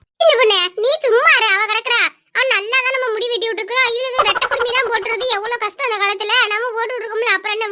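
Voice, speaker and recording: A woman's cartoonish character voice, extremely high-pitched, at a fairly quick pace. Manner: loud, exclamatory.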